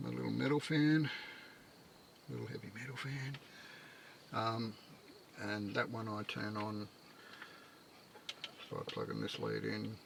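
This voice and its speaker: A man mumbles quietly with long, frequent pauses. Noticeable background noise is present. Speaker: micro-camper builder living in his camper. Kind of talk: casual talk to camera. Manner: mumbling, rambling, quiet; hesitant, many fillers.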